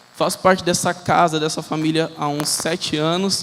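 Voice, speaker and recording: A fairly high-pitched male voice against noticeable background noise. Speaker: lay preacher. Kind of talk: sermon. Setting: church with congregation. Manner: fast.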